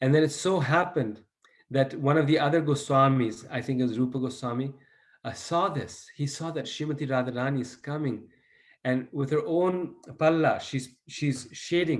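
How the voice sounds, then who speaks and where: Speaking with an unremarkable speaking voice, a man talks at a moderate pace, his pitch fairly high and ordinary in its variation. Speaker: devotional teacher. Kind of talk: lecture.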